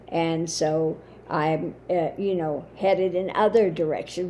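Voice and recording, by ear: Croaky and fairly low-pitched, a woman's voice carries a dark, mellow tone with little pitch movement.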